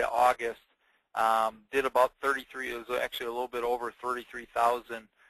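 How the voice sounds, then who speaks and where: A man with a Wisconsin accent talks at medium pitch in a flat monotone. His tone is bright and sharp, and the sound is dry and close with no echo. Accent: northern US, Wisconsin. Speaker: insurance agent. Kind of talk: webinar presentation. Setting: webinar. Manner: casual, many fillers; laid-back.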